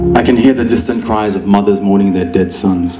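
Clear music plays in the background as a man speaks in a fairly low pitch with ordinary pitch variation. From Australia. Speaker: spoken word poet. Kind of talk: live slam poetry performance. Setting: live stage. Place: stage. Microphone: handheld.

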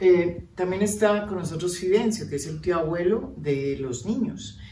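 Amid audible room echo, a woman with a dark, mellow tone speaks at fairly low pitch, with ordinary pitch variation and a moderate pace.

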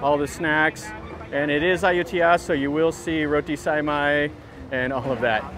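Over noticeable background noise, a man speaks with fairly even intonation in a dry sound with no echo. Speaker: travel vlogger. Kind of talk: casual vlog commentary. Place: market. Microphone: phone near.

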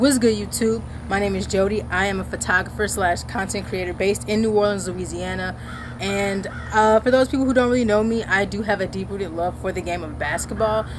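There is noticeable background noise as a woman speaks at a fairly quick pace. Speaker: content creator. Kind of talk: casual vlog chat. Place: garden.

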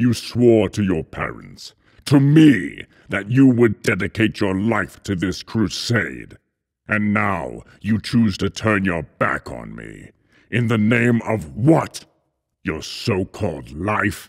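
In a very clean recording with a silent background, a man does a put-on character voice, fairly low in pitch, at a fairly slow pace. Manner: menacing, thundering, accusing.

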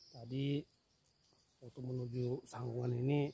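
The speech comes at a fairly slow pace with a dry sound and no echo. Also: man. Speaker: hunting vlogger. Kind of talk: casual vlog chat. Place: open country. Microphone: phone near.

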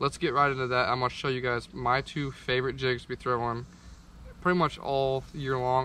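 A man talks in a flat monotone with a bright, sharp tone. The sound is dry with no echo, over light background noise. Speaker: fishing content creator. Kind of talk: tutorial. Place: garden. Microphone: camera far.

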